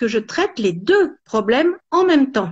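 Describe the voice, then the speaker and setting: A woman speaks at a high pitch, her voice swinging very widely up and down. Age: 70s. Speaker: cosmetics entrepreneur. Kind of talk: interview. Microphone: poor network connection.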